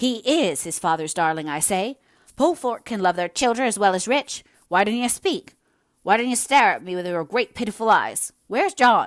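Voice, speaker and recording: A female-sounding voice, put on as a growling character voice at a fairly high pitch, speaks at a moderate pace on a very clean recording with a silent background. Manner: wild, growing more intense.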